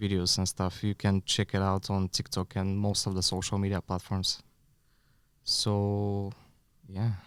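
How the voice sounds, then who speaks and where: A man with a Bulgarian accent, fairly low-pitched and fairly slow, flat and monotone at a very even loudness, on a very clean recording with a silent background and a dry, close sound with no echo. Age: 30s. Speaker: bar consultant and podcast co-host. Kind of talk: casual podcast chat.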